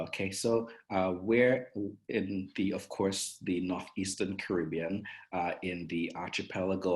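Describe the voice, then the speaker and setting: This speaker, with an Antiguan accent, talks at a fairly slow pace. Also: man. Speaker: tourism marketing manager. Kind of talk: interview. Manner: hesitant fillers.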